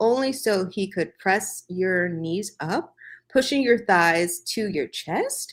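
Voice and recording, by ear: With lively intonation over a quiet background, the passage is read aloud in a natural voice.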